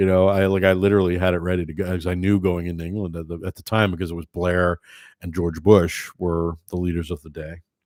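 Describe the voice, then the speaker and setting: A man with an American accent and a very deep, low pitch speaks very fast in a flat monotone. The recording is very clean, with a silent background and a dry, close sound with no echo. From United States. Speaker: livestream host. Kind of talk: casual chat. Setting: livestream. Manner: halting, many fillers.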